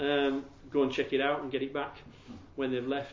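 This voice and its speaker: A man with a Yorkshire accent speaks at a fairly high pitch with monotone, flat intonation. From Yorkshire, England. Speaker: evangelist teaching about Jehovah's Witnesses. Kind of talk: talk to a group. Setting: room with audience, handout, no PowerPoint.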